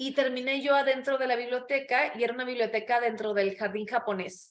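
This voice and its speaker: A woman's high-pitched voice, fairly quick and fairly even in intonation. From Sonora, northern Mexico. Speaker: actress. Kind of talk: interview chat.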